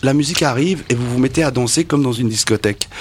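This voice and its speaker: A man's voice is heard with noticeable background noise around it. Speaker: radio interviewer. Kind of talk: radio interview.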